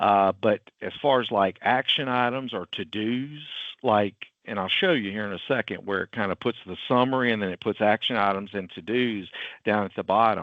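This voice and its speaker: Here a man talks with a strong Southern US accent at a moderate pace. His pitch is fairly low with ordinary variation. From US South. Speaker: IT company CEO and webinar presenter. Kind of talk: webinar presentation. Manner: casual, filler-heavy.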